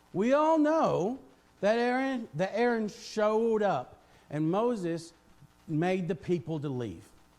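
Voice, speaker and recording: With a very slow delivery, the man's high voice swings very widely in pitch. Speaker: preacher. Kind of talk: sermon.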